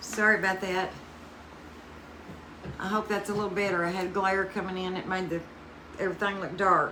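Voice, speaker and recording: With a Southern US accent, a woman talks at a fairly quick pace and a medium pitch in a monotone, flat way, leaving long, frequent pauses amid noticeable background noise. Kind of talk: casual craft livestream talk to camera.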